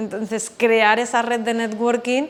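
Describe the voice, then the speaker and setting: A woman's voice over noticeable background noise. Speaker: psychologist and business mentor. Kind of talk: webinar lecture. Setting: online webinar. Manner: fast.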